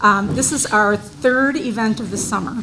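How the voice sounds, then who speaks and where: Audible room echo and noticeable background noise surround a woman speaking at a fairly high pitch and a fairly slow pace. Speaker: historical society host. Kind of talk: opening remarks at a public presentation. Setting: event hall with audience, PA microphone. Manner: loud.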